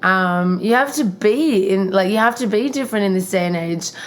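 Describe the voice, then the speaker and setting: A woman with an Australian accent at a medium pitch. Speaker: podcast host. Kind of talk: casual chat.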